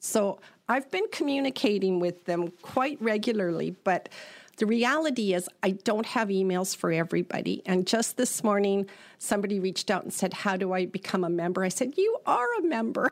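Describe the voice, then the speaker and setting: An unremarkable speaking voice in a Canadian accent, at a moderate pace with ordinary pitch variation. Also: woman, medium pitch for a woman. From British Columbia, Canada (Prince George). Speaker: business association director. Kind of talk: interview.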